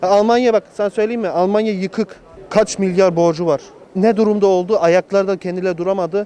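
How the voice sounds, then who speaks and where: A man's high-pitched voice at a moderate pace, with fairly even intonation, a dry sound with no echo and light background noise. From Germany (Munich), Turkish family; Germany. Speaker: returned emigrant, electrician; interviewee. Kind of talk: street interview. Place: street. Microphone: handheld.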